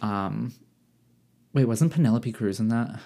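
On a very clean recording with a silent background, a man talks with a Midwestern US accent. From Michigan. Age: 20s. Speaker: podcaster. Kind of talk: casual chat. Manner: animated.

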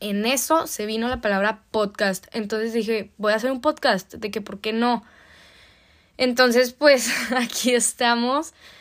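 The recording is very clean, with a silent background. The speaker talks at a fairly slow pace with fairly even intonation. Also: woman, fairly high pitch for a woman. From Mexico, Torreón, Coahuila. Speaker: podcast host, au pair. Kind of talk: casual monologue.

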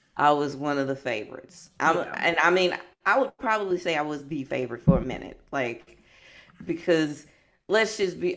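With an American accent, a woman speaks in a very deep, low pitch. Her intonation is lively and her pace moderate. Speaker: founder of a martial arts community group. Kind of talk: casual chat. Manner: loud.

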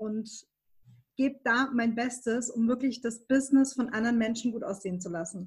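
The woman talks at a medium tempo, her fairly high voice keeping a fairly level intonation. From Baden-Württemberg, Germany. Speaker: graphic and web designer. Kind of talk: interview conversation.

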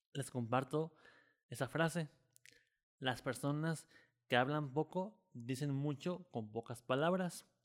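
A man's fairly high voice at a very slow pace, with ordinary pitch variation, long and frequent pauses, and a very clean recording over a silent background. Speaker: podcast host. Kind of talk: casual interview. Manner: halting, stammers.

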